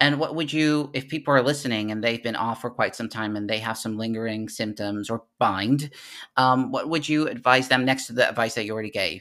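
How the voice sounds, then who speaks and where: The tone is bright and sharp, at a fairly quick pace with ordinary pitch variation. The recording is very clean, with a silent background. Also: man, medium pitch for a man. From Netherlands. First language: Dutch. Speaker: podcast host. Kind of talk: interview.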